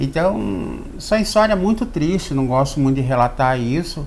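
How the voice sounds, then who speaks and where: Noticeable background noise and audible room echo surround a man's voice. He speaks fairly slowly with lively intonation. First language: Xokleng (speaking Portuguese). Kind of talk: TV interview. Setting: studio.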